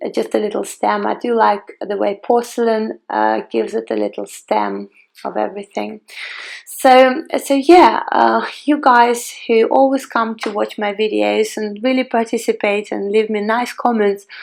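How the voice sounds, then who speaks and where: A woman with a Ukrainian accent, at a fairly slow pace. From Ukraine, Kiev. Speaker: flower crafting tutor. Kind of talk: tutorial. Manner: halting, many fillers.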